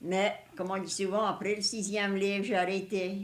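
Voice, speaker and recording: A woman speaks at a fairly slow pace with a Cajun accent, her pitch medium and her intonation fairly even. Some room echo can be heard. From Louisiana, Cajun country. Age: 60s. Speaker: elderly Cajun woman interviewee. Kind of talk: reminiscing interview.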